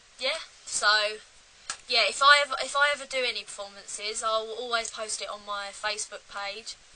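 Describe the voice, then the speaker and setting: A fairly high-pitched woman with an English accent at a moderate pace, with ordinary pitch variation, big swings in loudness, and noticeable background noise. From England. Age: 18. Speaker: musician and video creator. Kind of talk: casual Q&A vlog. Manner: casual, hesitant with fillers.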